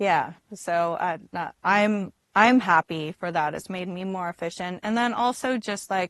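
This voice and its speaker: A woman speaks at a fairly slow pace and medium pitch with ordinary pitch variation, recorded with a dry, close sound and no echo against a quiet background. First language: not English. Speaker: cannabis tech company representative. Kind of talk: podcast interview. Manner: hesitant, many fillers and restarts.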